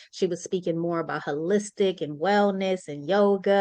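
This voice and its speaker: Against a quiet background, a woman with an American accent speaks at a moderate pace and medium pitch with ordinary pitch variation. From Sacramento, California. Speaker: author and book anthology host. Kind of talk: virtual book launch chat.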